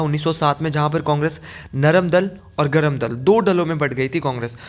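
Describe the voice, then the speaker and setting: Using a plain, everyday voice, a man speaks at a fairly high pitch. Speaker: exam-prep teacher. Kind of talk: lecture.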